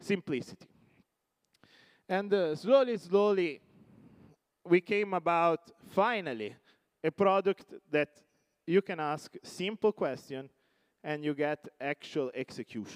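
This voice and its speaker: A man with an Italian accent speaks at a fairly slow pace in a high voice with lively intonation, leaving long, frequent pauses. The sound is dry and close with no echo. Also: very clean recording, silent background. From Italy. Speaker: tech company CEO. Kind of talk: conference keynote. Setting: stage with audience.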